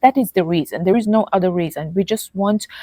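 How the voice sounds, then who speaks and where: Dark and mellow in tone, a woman with a non-native accent speaks with fairly even intonation in a dry, close sound with no echo. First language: not English. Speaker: health content creator and author. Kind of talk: casual chat. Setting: in person, sitting together. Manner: halting, many fillers.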